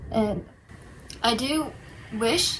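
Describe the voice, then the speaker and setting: A woman with an American accent talks with ordinary pitch variation. Noticeable background noise and audible room echo surround her voice. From New York City. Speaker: study abroad student. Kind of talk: casual chat.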